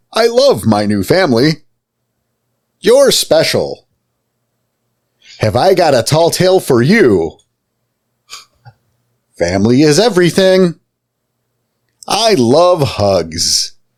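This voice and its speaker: In a put-on character voice, a man sounds robotic, pitched fairly high and moving at a fairly slow pace with long, frequent pauses. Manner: cheerful, repetitive.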